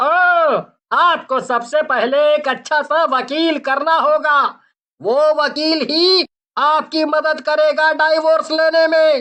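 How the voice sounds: A cartoonish character voice, high in pitch, at a very slow pace.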